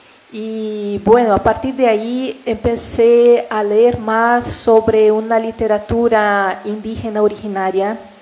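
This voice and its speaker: A woman's monotone, flat delivery at a very slow pace, with hardly any pauses. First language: Portuguese (speaking Spanish). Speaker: professor. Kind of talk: academic talk. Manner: hesitant.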